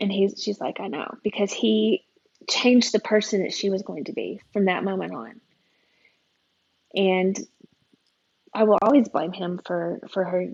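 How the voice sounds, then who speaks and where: A woman speaks at a moderate pace and medium pitch. Vocal fry runs through her voice. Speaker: entrepreneur and abuse survivor. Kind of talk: podcast interview. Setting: podcast recording.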